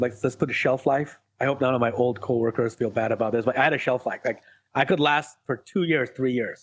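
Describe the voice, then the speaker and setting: Someone with an Iranian accent speaks at a very fast pace. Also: man. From Iran, moved to US as a child. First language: Farsi. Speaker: ADHD life coach. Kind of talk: podcast interview.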